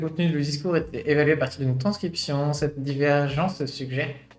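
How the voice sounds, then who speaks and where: A man talks at a fairly quick pace. Audible room echo and noticeable background noise sit around his speech. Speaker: VTuber streamer. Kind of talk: live stream reading and commenting on a scientific study. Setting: live stream. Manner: hesitant, many filler sounds.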